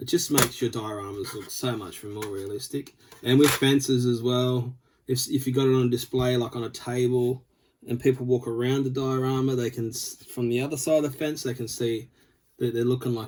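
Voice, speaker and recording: A man speaks with an Australian accent. His intonation is fairly even. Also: medium pitch for a man. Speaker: scale model builder. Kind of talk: tutorial. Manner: casual, with filler words.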